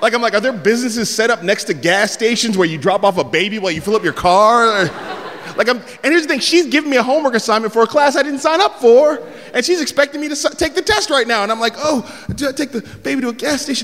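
Very fast and with lively intonation, a man with an American accent speaks at an extremely high pitch over noticeable background noise. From San Francisco, US West Coast. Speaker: comedian. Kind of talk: stand-up storytelling. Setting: stage with audience.

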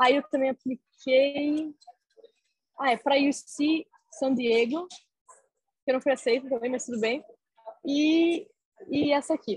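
Long, frequent pauses break up the speech of a woman with a high pitch and ordinary pitch variation. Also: dry, close sound with no echo. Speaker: university student. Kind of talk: interview. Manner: halting, many fillers.

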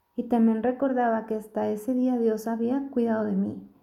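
A woman speaks at a moderate pace in a gentle tone. Her intonation is monotone and flat, with audible room echo. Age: 40s. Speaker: family doctor. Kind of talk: recorded testimony.

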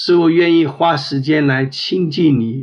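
Very slowly, a man speaks with fairly even intonation. His pitch sits fairly high. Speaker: prayer leader. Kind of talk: fervent prayer. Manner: earnest, heartfelt.

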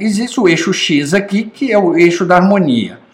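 With audible room echo, a man speaks at a fairly slow pace in a high pitch, his intonation lively. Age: 50s. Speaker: online course instructor. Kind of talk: recorded lecture.

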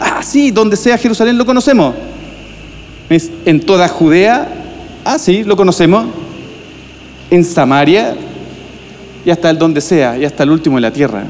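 A high-pitched man talks at a fairly slow pace with long, frequent pauses and very wide pitch swings. His loudness stays very even, and there is noticeable background noise. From Chile, Viña del Mar. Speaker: pastor. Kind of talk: sermon. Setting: church.

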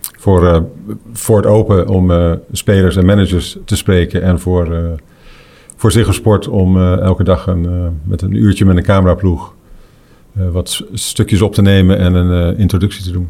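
A man's very deep, low voice with a dark, mellow tone, fairly even intonation, a fairly slow pace and long, frequent pauses. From Netherlands. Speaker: golf tournament director and commentator. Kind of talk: casual chat.

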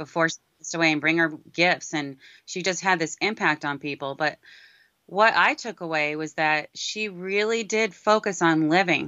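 A woman with an American accent speaks in an ordinary speaking voice, fairly low in pitch, at a moderate pace with ordinary pitch variation. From New York City (Brooklyn/Queens). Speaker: filmmaker and former worship singer. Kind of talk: interview.

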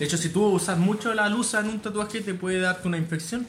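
A man speaks with a Chilean accent at a fairly quick pace. Room echo is audible. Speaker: tattoo artist. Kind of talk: casual chat.

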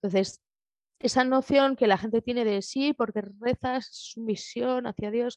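A woman speaks in a high voice at a fairly slow pace, with fairly even intonation. The sound is dry and close, with no echo. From Spain, Madrid. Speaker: guest sharing personal testimony. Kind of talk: interview. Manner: halting.

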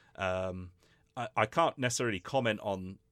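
The voice has an English accent and a bright, sharp tone. The recording is very clean, with a silent background and a dry, close sound with no echo. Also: man. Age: 30s. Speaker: English teacher and video reviewer. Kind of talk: casual chat.

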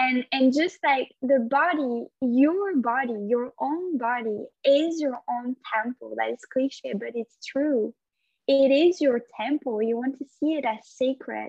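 A woman's high voice at a very slow pace. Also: ordinary pitch variation. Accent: French. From France. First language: French. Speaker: yoga instructor. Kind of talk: casual interview conversation.

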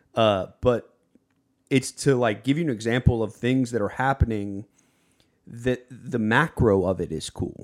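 Delivered at a fairly slow pace with ordinary pitch variation, the speech comes through in a very clean recording with a silent background. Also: man, medium pitch for a man. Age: 20s. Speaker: YouTube content creator. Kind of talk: casual chat. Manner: animated.

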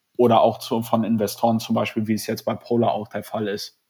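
Dark, mellow tone from a man at medium pitch and a moderate pace. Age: 20s. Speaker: startup founder and student. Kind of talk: interview. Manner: halting, many fillers.

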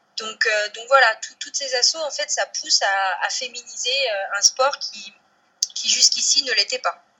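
Her high pitch and lively intonation mark this woman's speech. She goes at a fairly slow pace with big swings in loudness. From Brittany, France (Côtes d'Armor). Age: 30s. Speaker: professional cyclist. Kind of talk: interview. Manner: halting, many fillers and repetitions.

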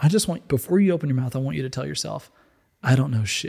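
A man with a fairly high pitch and a somewhat breathy, dark, mellow tone is heard on a very clean recording with a silent background. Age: 30s. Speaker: apparel company executive. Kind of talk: casual chat.

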